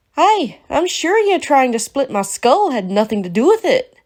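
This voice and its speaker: A woman's high, growling, put-on character voice with very wide pitch swings and a moderate pace. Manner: growling, defiant.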